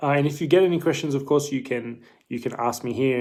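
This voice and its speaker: Talking very fast, a man speaks in an Australian accent. His pitch varies in an ordinary way. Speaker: dietitian. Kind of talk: live stream Q&A. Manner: casual, hesitant with fillers.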